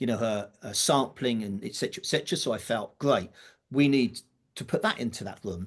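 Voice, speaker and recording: Here a man speaks with a British accent at a moderate pace. The background is quiet. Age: 60s. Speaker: drum teacher and event organiser. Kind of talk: podcast interview. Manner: casual, with fillers and false starts.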